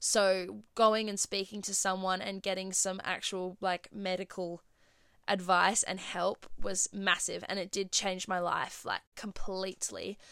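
A woman with an Australian accent speaks fairly slowly at a medium pitch, her tone bright and sharp. Her intonation is monotone and flat, and the recording is very clean with a silent background. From Australia, Perth. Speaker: podcast host. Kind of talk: casual solo chat.

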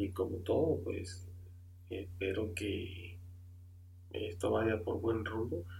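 A man talks at a very slow pace in a very deep, low pitch, leaving long, frequent pauses. His pitch variation is ordinary, and the room echo is audible. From Honduras. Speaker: amateur podcast host. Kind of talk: podcast introduction monologue. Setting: home room, computer and microphone. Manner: halting, many filler sounds.

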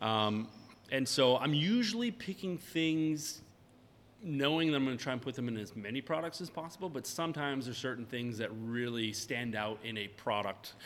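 With an American accent, a man speaks in a plain, everyday voice at a medium pitch, using lively intonation at a moderate pace. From Maine, US. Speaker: craft fermented-beverage maker. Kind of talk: interview, casual chat. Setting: his tasting room.

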